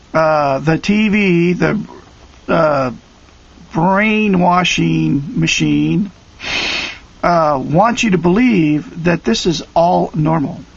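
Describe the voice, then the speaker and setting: A man with a high pitch speaks at a very slow pace with long, frequent pauses, very even loudness and ordinary pitch variation over noticeable background noise. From Oregon. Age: 50s. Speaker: online video commentator. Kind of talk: direct-to-camera rant. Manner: animated.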